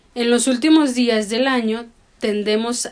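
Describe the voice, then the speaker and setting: It's an unremarkable speaking voice, a woman talking at a fairly slow pace. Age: 30s. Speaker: podcast co-host. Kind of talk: casual chat; scripted narration.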